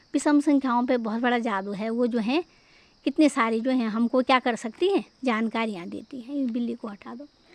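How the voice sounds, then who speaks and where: The speaker goes at a moderate pace with ordinary pitch variation and big swings in loudness. The sound is dry and close, with no echo. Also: woman, high pitch for a woman. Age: 60s. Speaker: teacher. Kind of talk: storytelling math lesson.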